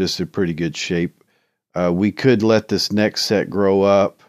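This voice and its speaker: A man with an ordinary speaking voice talks at a moderate pace and fairly low pitch, ordinary pitch variation, on a very clean recording with a silent background and a dry, close sound with no echo. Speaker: gaming YouTuber. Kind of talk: tutorial. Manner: casual, filler-heavy.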